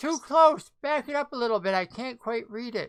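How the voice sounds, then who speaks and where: A put-on character voice from a woman, pitched high, at a moderate pace. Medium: actual play. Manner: suspicious, clipped.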